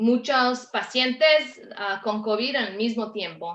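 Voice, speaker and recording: With a non-native accent, a woman speaks very slowly in a fairly high pitch with ordinary pitch variation. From Canada. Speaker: respiratory therapist and lecturer. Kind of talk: webinar panel talk.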